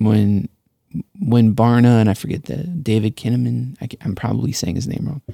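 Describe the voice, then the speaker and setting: The mumbling voice has a dark, mellow tone, with a dry, close sound and no echo. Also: man, medium pitch for a man, ordinary pitch variation, moderate pace. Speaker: pastor. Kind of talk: casual chat.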